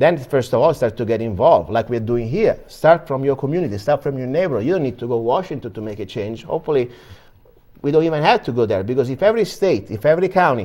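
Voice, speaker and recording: A man with an Italian accent and a dark, mellow tone talks very fast with lively intonation. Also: medium pitch for a man. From Italy. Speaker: political commentator. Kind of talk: interview. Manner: halting.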